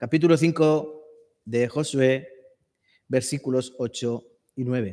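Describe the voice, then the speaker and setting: A man with a medium pitch and a dark, mellow tone speaks at a very slow pace, with ordinary pitch variation and long, frequent pauses. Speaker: preacher. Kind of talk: sermon.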